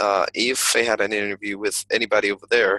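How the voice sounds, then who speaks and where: A man with a slight American accent talks at a fairly quick pace and fairly low pitch, his tone bright and sharp, in a dry, close sound with no echo and a quiet background. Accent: slight American flavor in his English. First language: Spanish. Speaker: English teacher. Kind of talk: personal vlog monologue. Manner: halting, many fillers and repetitions.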